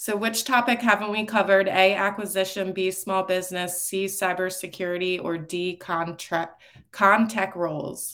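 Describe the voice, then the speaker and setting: At a moderate pace, a woman with a medium pitch speaks in a bright, sharp tone with monotone, flat intonation. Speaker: podcast co-host, communications professional. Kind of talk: casual interview.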